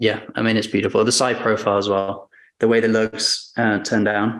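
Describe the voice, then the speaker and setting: In a northern English accent, a man talks at a medium pitch with monotone, flat intonation and very even loudness. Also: moderate pace. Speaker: watch retailer. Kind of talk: casual interview.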